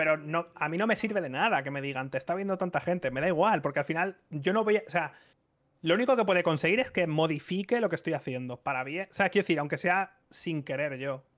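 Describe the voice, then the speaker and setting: Against a quiet background, a man with a Spanish accent talks very fast at a high pitch. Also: lively intonation. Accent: Spanish (Spain). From Spain. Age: 30s. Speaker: streamer. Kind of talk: casual chat. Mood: animated, reflective. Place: home room. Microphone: studio mic.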